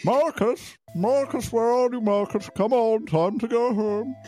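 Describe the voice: Using a put-on character voice, a man talks at a moderate pace with an extremely high pitch.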